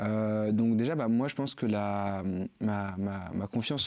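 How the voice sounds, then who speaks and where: Over a quiet background, a man speaks with a fairly low pitch, a dark, mellow tone and fairly even intonation. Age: 20s. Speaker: university student. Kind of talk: podcast interview. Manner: halting, many fillers.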